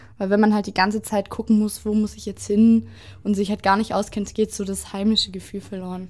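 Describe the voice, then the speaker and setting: A woman talks at a fairly quick pace in a medium pitch, her voice somewhat breathy and her intonation monotone and flat. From southwestern Germany (Stuttgart area, Oberkochen). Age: 20s. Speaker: vlog host. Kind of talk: casual chat.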